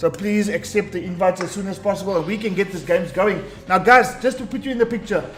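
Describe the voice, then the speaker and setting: A man with a high voice talks at a very fast pace while music plays in the background. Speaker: esports tournament streamer host. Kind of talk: live stream commentary. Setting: live stream. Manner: animated.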